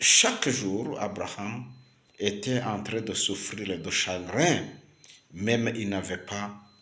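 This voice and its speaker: With noticeable background noise and audible room echo, a man speaks at a very slow pace. His pitch is fairly low. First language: Kinyarwanda (speaking French). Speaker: preacher. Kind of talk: sermon. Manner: halting, many fillers and repetitions.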